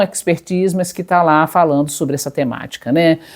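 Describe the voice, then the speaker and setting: Dark and mellow in tone, a woman speaks at a fairly low pitch. She keeps a moderate pace with ordinary pitch variation. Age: 60s. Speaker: psychologist. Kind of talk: personal testimony to camera. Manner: conversational, with fillers.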